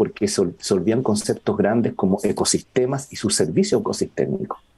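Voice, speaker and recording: At a very fast pace, a man speaks at a medium pitch with very wide pitch swings. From northern Chile, Iquique. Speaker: biologist and sustainability researcher. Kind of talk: conversational interview. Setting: outdoors in a garden.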